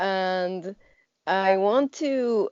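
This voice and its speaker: Very slow speech from a woman of medium pitch, lively in intonation, with a non-native accent. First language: not English. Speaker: artist and animation professor. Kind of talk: interview. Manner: halting, many fillers.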